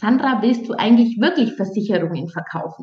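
A woman has a normal speaking voice. It is fairly high in pitch with ordinary variation. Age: 30s. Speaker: dating and relationship coach. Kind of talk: casual interview.

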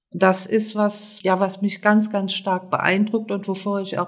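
Somewhat breathy, a woman talks at a fairly slow pace with fairly even intonation. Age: 60s. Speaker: social worker and seminar leader. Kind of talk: interview. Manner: hesitant, with fillers.

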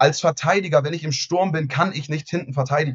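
Somewhat breathy delivery at a fairly quick pace, with ordinary pitch variation. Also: man. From Hamburg, northern Germany. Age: 20s. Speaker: real estate agent and company founder. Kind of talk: podcast interview.

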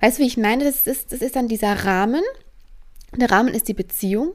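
Recorded very cleanly against a silent background, a woman speaks at a fairly high pitch. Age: 20s. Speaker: spiritual coach podcaster. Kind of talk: solo podcast monologue.

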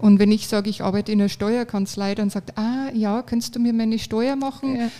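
On a very clean recording with a silent background, a woman with a Bavarian accent speaks at a moderate pace, her fairly high voice dark and mellow in tone. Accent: Bavarian dialect, clearly audible. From Regensburg, Bavaria. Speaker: law firm office manager. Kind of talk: interview. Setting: on-site makeshift studio at a conference.

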